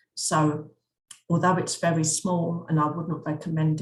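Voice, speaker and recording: Somewhat breathy, a woman with an English accent talks at a fairly slow pace with monotone, flat intonation. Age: 60s. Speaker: travel vlogger. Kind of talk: narrated slideshow travel talk. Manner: halting, with frequent self-corrections.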